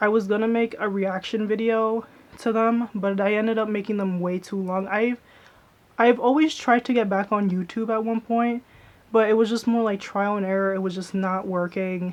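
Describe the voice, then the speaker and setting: Fairly high for a woman, her pitch stays fairly even in intonation. She talks at a moderate pace. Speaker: YouTuber, vlogger. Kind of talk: casual vlog chat. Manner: soft-spoken.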